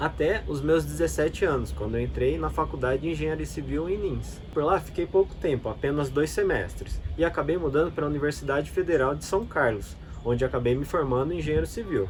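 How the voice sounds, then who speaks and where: Clear background noise sits behind a man who speaks rather quickly. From Brazil, interior of São Paulo (Bauru). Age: 30s. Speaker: travel vlogger. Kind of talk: scripted narration.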